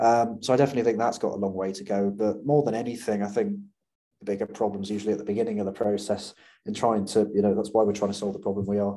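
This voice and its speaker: A very fast, fairly low-pitched man's voice with a British accent and monotone, flat intonation. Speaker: startup founder. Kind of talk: casual interview. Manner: fast talker.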